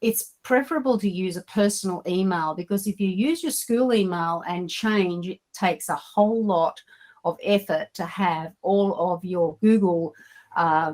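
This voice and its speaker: A woman with an Australian accent at a fairly slow pace. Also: medium pitch for a woman, ordinary pitch variation. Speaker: digital mentor and coach. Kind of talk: online training session. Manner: halting.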